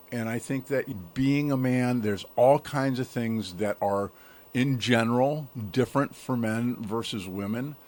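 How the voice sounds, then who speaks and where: In a normal speaking voice, a man talks at medium pitch and a fairly slow pace with ordinary pitch variation. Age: 60s. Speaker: self-development coach, podcast guest. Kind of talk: interview conversation.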